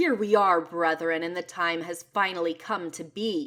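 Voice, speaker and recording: A woman puts on a character voice that is growling and booming. Her pitch sits fairly low. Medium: read story. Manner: bellowing, commanding.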